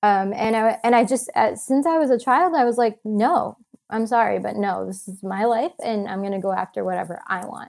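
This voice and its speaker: Speaking in a plain, everyday voice with an American accent, a woman with fairly high pitch and lively intonation keeps a moderate pace with hardly any pauses. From US Midwest, Michigan. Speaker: travel photographer and author. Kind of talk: casual interview.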